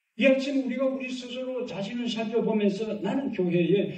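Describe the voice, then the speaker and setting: A moderate pace in a Gyeongsang accent. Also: man. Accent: Gyeongsang Korean dialect. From Gyeongsang region, Korea. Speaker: pastor. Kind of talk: sermon.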